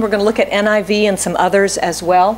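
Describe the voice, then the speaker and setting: A woman at a moderate pace, with light background noise. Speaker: pastor. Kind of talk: sermon. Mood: warm, light humor. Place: church. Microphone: podium.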